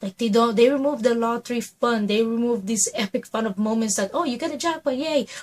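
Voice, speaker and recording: With hardly any pauses, a woman talks at a fairly quick pace in a fairly high, animated voice with ordinary pitch variation. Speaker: YouTuber. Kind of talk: vlog monologue.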